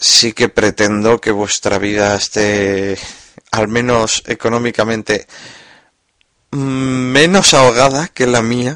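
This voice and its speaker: A man at a very slow pace, medium pitch and ordinary pitch variation, in a dry, close sound with no echo. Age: 20s. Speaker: podcaster. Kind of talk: personal monologue.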